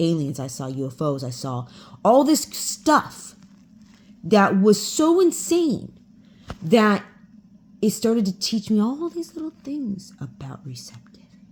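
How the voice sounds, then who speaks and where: Somewhat breathy and fairly slow, a woman speaks with long, frequent pauses, big swings in loudness and very wide pitch swings. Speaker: spiritual channeler. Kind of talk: casual monologue.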